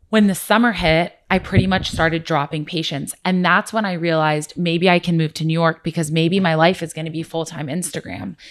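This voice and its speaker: A woman with an American accent speaks at a moderate pace in a fairly low pitch, an unremarkable speaking voice on a very clean recording with a silent background. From US, Orange County. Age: 20s. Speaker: food blogger. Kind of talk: casual chat.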